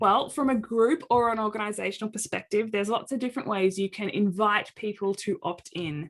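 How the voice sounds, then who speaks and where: Speaking with an Australian accent, a woman talks at a fairly quick pace with hardly any pauses, her fairly high pitch showing ordinary variation. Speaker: occupational therapist and accessibility advocate. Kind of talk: presentation.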